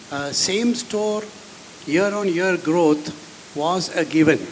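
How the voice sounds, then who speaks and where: The speech moves at a very slow pace with ordinary pitch variation. Noticeable background noise and audible room echo are present. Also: man. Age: 70s. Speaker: retail business founder. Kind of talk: panel discussion. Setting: stage with audience.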